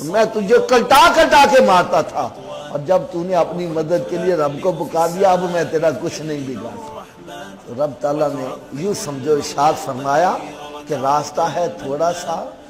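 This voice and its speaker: This man's high-pitched voice moves with lively intonation, noticeable background noise running underneath. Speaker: Islamic scholar giving a sermon. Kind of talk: Islamic sermon (bayan) to an audience.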